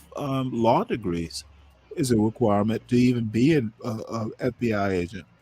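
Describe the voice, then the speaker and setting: Speaking in an American accent, a man keeps to a moderate pace. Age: 60s. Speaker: debate show host. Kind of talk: heated debate. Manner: animated; interrupting, crosstalk.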